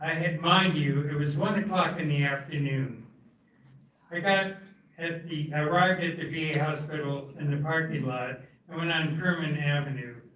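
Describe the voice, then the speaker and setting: A man's fairly high-pitched voice at a moderate pace, with fairly even intonation, audible room echo and noticeable background noise. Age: 80s+. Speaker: Vietnam veteran, member of the public. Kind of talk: public comment. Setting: county commission meeting.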